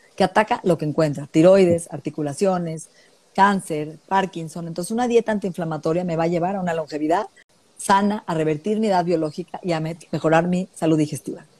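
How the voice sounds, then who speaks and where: The tone is dark and mellow. Speech moves at a fairly quick pace with fairly even intonation. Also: woman, fairly low pitch for a woman. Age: 50s. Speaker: functional nutritionist. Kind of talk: interview.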